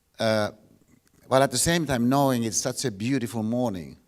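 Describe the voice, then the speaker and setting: A man speaks with a Finnish accent. The recording is very clean, with a silent background. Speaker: philosophy professor. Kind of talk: lecture. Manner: halting, many repeated words.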